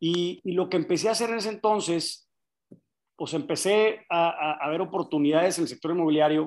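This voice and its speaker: Fairly quick, high-pitched speech from a man with ordinary pitch variation. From Monterrey, northern Mexico. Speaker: investor and real estate developer. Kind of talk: interview conversation.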